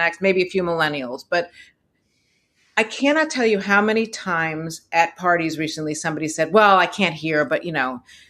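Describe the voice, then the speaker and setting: In a very clean recording with a silent background, a woman speaks at a moderate pace. Her fairly low voice has a bright, sharp tone and lively intonation. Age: 60s. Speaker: interviewer, writer with hearing loss. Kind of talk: interview. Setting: recorded conversation. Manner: animated.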